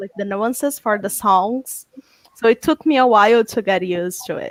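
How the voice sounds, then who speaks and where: A woman talks with a non-native accent at a fairly high pitch and a moderate pace, with ordinary pitch variation. The sound is dry and close, with no echo. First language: not English. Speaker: fan panel guest. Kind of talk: casual video chat.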